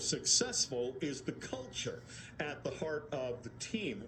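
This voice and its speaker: A man's voice against noticeable background noise. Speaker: radio host. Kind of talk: radio read of a written piece.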